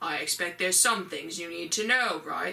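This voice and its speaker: The speaker puts on a character voice. The delivery is moderately paced. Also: woman. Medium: read story. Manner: dry, sardonic.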